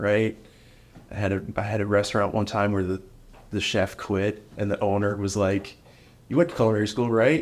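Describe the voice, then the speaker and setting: A man with an American accent speaks at a moderate pace, his fairly low pitch held in fairly even intonation. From New York (Rockland County). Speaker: contractor and business owner. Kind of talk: interview.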